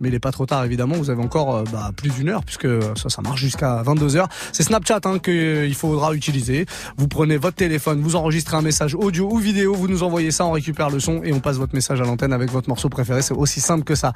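Talking at a very fast pace, a man with a fairly high pitch keeps his loudness very even and his pitch variation ordinary. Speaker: radio DJ host. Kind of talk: radio show presenting. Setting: radio studio. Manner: animated.

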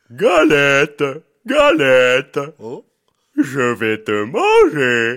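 A man in a put-on character voice speaks very slowly at a fairly high pitch, with long, frequent pauses. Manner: menacing.

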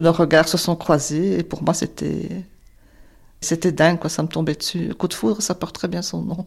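A woman with vocal fry speaks at a fairly low pitch, keeping a moderate pace and fairly even intonation. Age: 60s. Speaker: widow sharing personal story. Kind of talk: personal testimony.

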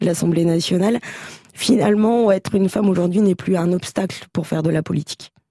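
A woman speaks in a medium pitch with an ordinary speaking voice. Her intonation stays fairly even. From France, Champagne-Ardenne (Châlons-en-Champagne). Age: 30s. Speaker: member of parliament. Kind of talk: radio interview.

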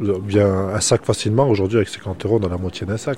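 A man's voice at a fairly low pitch. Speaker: retired optician. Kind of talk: casual interview.

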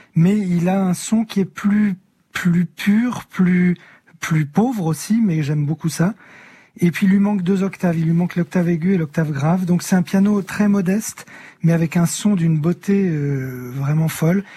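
A man's high-pitched voice with a dark, mellow tone and very even loudness. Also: ordinary pitch variation, fairly slow pace. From northern France, near Amiens. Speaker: singer and illustrator. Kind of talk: radio interview.

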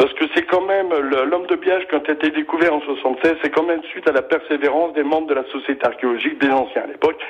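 At a very fast pace with hardly any pauses, the speaker keeps very even loudness and fairly even intonation over noticeable background noise. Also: man, fairly high pitch for a man. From northern France, near Bapaume (Pas-de-Calais). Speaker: local history association president. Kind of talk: radio interview. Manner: hesitant, many fillers.

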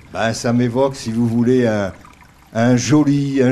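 Noticeable noise is present in the background. A man talks with ordinary pitch variation. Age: old. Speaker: retired doctor. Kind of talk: outdoor interview. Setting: outdoors by a river. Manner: halting, with repetitions.

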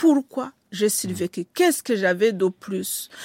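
A woman with a Rwandan accent and lively intonation, dry and close with no echo. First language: Kinyarwanda (speaking French). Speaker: writer. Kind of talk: interview. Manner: halting.

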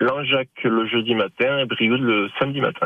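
This is a man speaking at a medium pitch. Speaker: dairy farmer and cheesemaker. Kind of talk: radio interview. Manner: halting.

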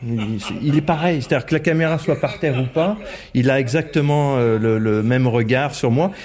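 Against noticeable background noise, a man talks with a fairly high pitch and lively intonation. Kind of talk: casual recollection. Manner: animated, enthusiastic.

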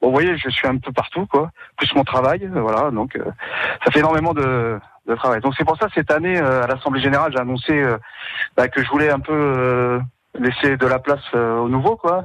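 Moderate pace with long, frequent pauses and ordinary pitch variation. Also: man, medium pitch for a man. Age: 50s. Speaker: volunteer basketball club president and volunteer firefighter. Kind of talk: radio testimony. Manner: halting, with many hesitations.

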